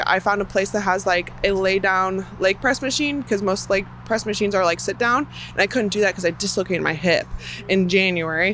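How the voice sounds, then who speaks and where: A woman with an American accent speaks at a fairly quick pace, her medium pitch showing ordinary variation in a normal speaking voice. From US Midwest, Chicago area. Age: 20s. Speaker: professional BMX racer. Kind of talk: interview.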